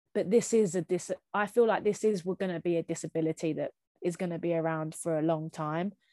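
In a very clean recording with a silent background and a dry, close sound with no echo, a woman speaks at a fairly quick pace with a Kent accent. Her voice is fairly low, with a dark, mellow tone and fairly even intonation. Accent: Kent, southeast England. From Kent, southeast England. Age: 20s. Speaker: physiotherapist with long Covid. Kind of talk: testimony.

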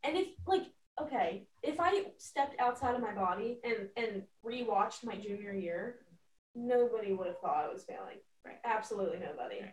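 A woman's fairly high voice moves through very wide pitch swings and big swings in loudness. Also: moderate pace. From Pennsylvania. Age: 20s. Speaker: college lacrosse goalie. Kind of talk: casual interview chat.

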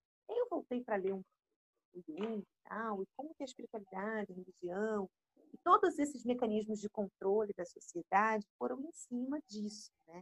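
A woman speaks at a moderate pace with a fairly high pitch and lively intonation. Her voice is somewhat breathy, with big swings in loudness, in dry, close sound with no echo. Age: 30s. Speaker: psychologist. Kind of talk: casual chat.

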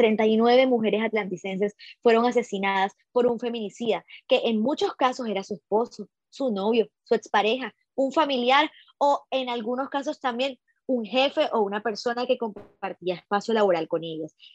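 A woman with a plain, everyday voice speaks at a moderate pace in a fairly high pitch, with ordinary pitch variation and a dry, close sound with no echo. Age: 20s. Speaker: journalist and feminist activist, podcast co-host. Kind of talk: casual discussion panel.

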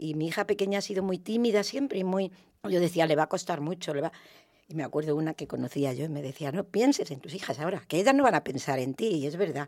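A woman at a very fast pace, fairly low in pitch, with lively intonation. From Valdepeñas, Ciudad Real, Spain. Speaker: neighborhood women's group member. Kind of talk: radio roundtable discussion. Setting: radio studio.

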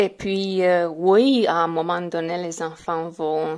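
On a very clean recording with a silent background, a woman with a Romanian accent speaks at a very slow pace and fairly low pitch with fairly even intonation. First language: Romanian (speaking French). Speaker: French learner. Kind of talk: recorded testimony. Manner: halting, with hesitations.

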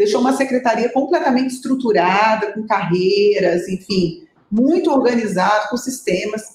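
A woman uses a plain, everyday voice, speaking fairly high at a moderate pace with ordinary pitch variation. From Brasília, Brazil. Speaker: municipal finance secretary. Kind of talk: interview.

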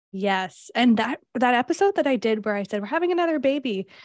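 Very wide pitch swings run through a woman's voice. The sound is dry and close, with no echo. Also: very clean recording, silent background. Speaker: podcast host and career coach. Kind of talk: casual interview conversation.

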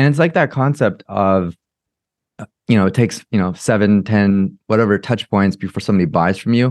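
With an American accent, a man talks at a fairly quick pace and a fairly low pitch, his intonation lively and his loudness very even, in a dry, close recording with no echo and a quiet background. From US West Coast, Orange County, California. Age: 30s. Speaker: personal branding expert and company founder. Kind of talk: interview.

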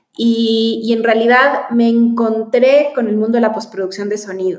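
Audible room echo surrounds a woman who talks at a moderate pace with a fairly high pitch. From Chile. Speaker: film producer. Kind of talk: interview.

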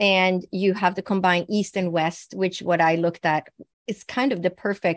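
This woman has a Swedish accent, a fairly low pitch and fairly even intonation, speaking at a moderate pace in a dry, close sound with no echo. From Sweden. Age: 60s. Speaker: naturopathic physician and psychic medium. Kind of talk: interview testimony. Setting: remote interview.

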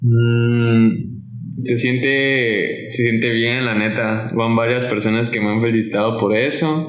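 Very slowly, a man speaks at a medium pitch in a monotone, flat intonation. Audible room echo hangs around his voice. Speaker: skateboarder. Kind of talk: casual chat.

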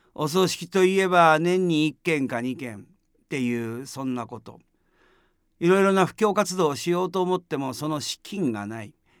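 On a very clean recording with a silent background, a man with a plain, everyday voice speaks at a moderate pace and fairly high pitch, with lively intonation and big swings in loudness. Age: 60s. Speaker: Buddhist priest. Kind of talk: dharma talk. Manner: calm, measured with fillers.

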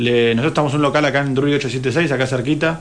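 Noticeable background noise is present. A man at medium pitch talks at a very fast pace. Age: 30s. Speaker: mayoral candidate. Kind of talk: radio interview.

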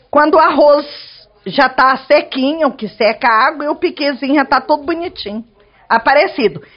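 A woman's high-pitched voice with ordinary pitch variation, at a moderate tempo. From Goiás, Chapada dos Veadeiros (central Brazil). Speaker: cook and restaurant owner. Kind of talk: cooking tutorial. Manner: casual.

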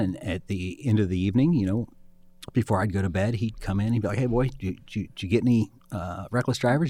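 A man with an American accent speaks at a very fast pace in a fairly low pitch. His pitch varies in an ordinary way, on a very clean recording with a silent background. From Ohio (Springfield, Clark County). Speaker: state public safety director, former prosecutor. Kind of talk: interview. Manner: repeats words, halting starts.

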